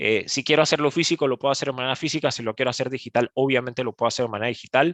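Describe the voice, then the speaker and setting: Over a quiet background, a man speaks very fast at a medium pitch with fairly even intonation and a dry, close sound with no echo. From Panama. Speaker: e-commerce speaker. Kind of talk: webinar presentation. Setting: online webinar. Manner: halting, many fillers.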